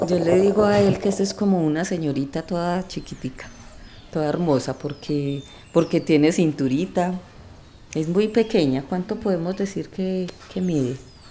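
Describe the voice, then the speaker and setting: This woman has a plain, everyday voice with a fairly low pitch. She talks at a moderate pace with ordinary pitch variation. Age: 50s. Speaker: storyteller in a documentary podcast. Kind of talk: personal storytelling.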